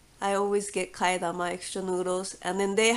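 A woman talks with a Japanese accent. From Japan (Fukuoka, Kyushu). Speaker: ramen chef. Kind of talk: casual interview.

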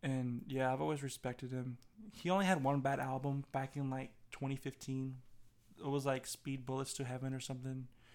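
At a fairly quick pace, the speaker has a normal speaking voice with fairly even intonation. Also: man, medium pitch for a man. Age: young. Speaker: podcast co-host. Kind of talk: casual chat.

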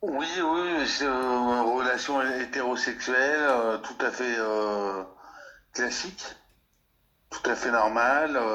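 Amid audible room echo, a man speaks at a very slow pace with long, frequent pauses and ordinary pitch variation. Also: medium pitch for a man. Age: 40s. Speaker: cultural sector worker. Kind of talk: testimony. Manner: halting.

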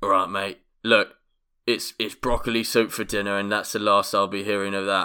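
Using a raspy, put-on character voice at a fairly low pitch, a man speaks at a moderate pace with long, frequent pauses on a very clean recording with a silent background. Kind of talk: casual British. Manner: gruff, blunt.

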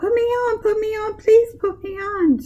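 The speaker uses a put-on character voice pitched extremely high. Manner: pleading, playful.

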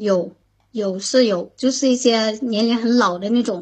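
A woman uses an ordinary speaking voice, fairly high in pitch, with ordinary pitch variation. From Shandong, Jinan (born Xishuangbanna). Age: 20s. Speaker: caller. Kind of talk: casual chat. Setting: online voice call. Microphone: laggy connection.

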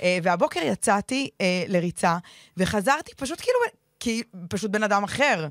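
An ordinary speaking voice moves at a moderate pace with lively intonation and big swings in loudness. The sound is dry and close, with no echo. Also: woman, medium pitch for a woman. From Israel, ultra-Orthodox community. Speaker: podcast host. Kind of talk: casual chat.

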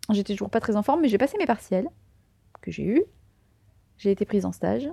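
With a fairly high, dark and mellow voice showing vocal fry, a woman speaks fairly quickly with lively intonation and long, frequent pauses, in dry, close sound with no echo. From southern France, Tarn. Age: 20s. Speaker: podcaster. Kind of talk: interview conversation.

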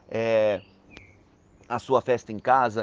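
A man is talking. The sound is close and dry, without any echo. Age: 40s. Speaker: event caterer. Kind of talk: advice segment.

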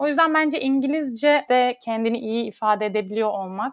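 A woman's normal speaking voice at a moderate pace, ordinary pitch variation, dry, close sound with no echo. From Turkey, Istanbul. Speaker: lawyer. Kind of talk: interview.

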